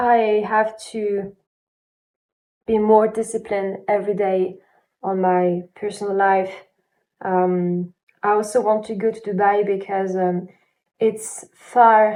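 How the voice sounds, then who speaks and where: This woman's voice has a medium pitch and a dark, mellow tone. Her monotone, flat delivery moves at a very slow pace, broken by long, frequent pauses. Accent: non-native. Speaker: aspiring singer and vlogger. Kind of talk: personal video diary. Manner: halting, many fillers.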